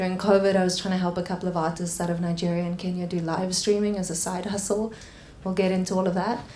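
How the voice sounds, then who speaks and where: Amid noticeable background noise and audible room echo, a woman with a South African accent talks at a very fast pace in a medium pitch with monotone, flat intonation. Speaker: panel moderator, tech company founder. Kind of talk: panel discussion.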